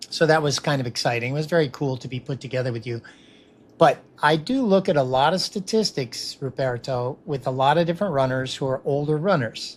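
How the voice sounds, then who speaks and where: Somewhat breathy, a man talks at a fairly quick pace and a fairly high pitch. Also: ordinary pitch variation. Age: 60s. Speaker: podcast host and runner. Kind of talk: casual interview.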